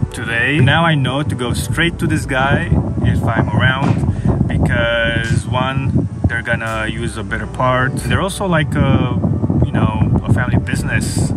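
A man talks fairly slowly. Music can be heard clearly behind his words. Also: dry sound with no echo. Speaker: van life vlogger. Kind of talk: casual vlog chat. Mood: relaxed, pleased. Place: car. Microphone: phone near.

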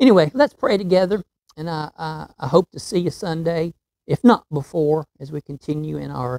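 A man with a fairly high pitch and a dark, mellow tone talks at a moderate pace with big swings in loudness, in a dry, close sound with no echo. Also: ordinary pitch variation. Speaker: pastor teaching Bible study. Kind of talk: Bible study lesson. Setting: outdoors.

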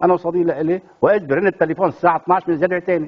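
A man at a high pitch and fairly quick pace against a quiet background. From Lebanon. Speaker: playwright and theatre director; talk show guest. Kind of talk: TV talk show interview. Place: studio. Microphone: lapel.

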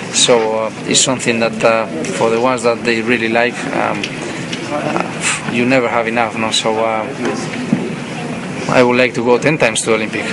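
Loud background noise fills this recording. Over it, a man talks at a fairly quick pace. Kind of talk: interview answer. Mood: relaxed, occasional laughs. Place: hall.

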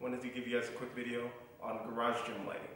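A man talks at a very fast pace amid strong room echo. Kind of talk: casual vlog chat. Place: garage. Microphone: camera far.

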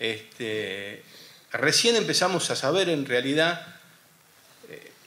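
A man speaking very slowly with very wide pitch swings. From Argentina. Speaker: war veteran and radio host. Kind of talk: panel talk. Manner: halting. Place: hall. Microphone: podium.

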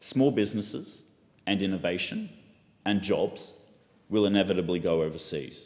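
A man with an Australian accent speaks at a moderate pace and a fairly low pitch, with ordinary pitch variation. His loudness stays very even, broken by long, frequent pauses. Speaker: politician. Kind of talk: parliamentary speech. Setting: parliament chamber. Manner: formal. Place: hall. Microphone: podium.

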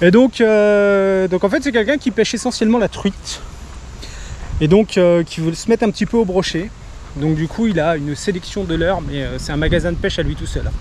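A man with a high voice for a man speaks at a moderate pace with ordinary pitch variation and long, frequent pauses. The sound is dry with no echo, over light background noise. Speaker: fishing vlogger. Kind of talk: casual vlog chat. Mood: cheerful, relaxed. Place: open country. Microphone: phone near.

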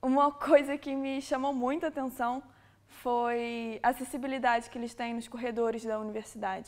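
With a Rio de Janeiro accent, a woman with a high pitch speaks with fairly even intonation and big swings in loudness against a quiet background. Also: moderate pace. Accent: Carioca Brazilian Portuguese. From Brazil, Rio de Janeiro. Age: 20s. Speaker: exchange student. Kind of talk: testimonial. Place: classroom.

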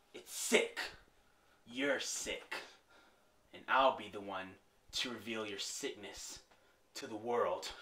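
A man's medium-pitched voice at a fairly slow pace, broken by long, frequent pauses. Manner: grim, resolute.

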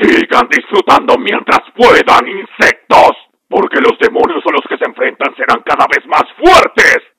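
At an extremely high pitch, a man does a put-on character voice at a moderate pace. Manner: gloating, menacing, shouting.

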